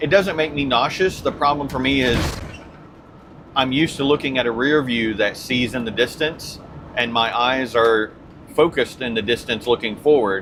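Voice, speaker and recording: Noticeable background noise beneath speech at a moderate pace. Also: man, medium pitch for a man, ordinary pitch variation. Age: old. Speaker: RV travel vlogger. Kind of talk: casual chat. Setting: in a vehicle.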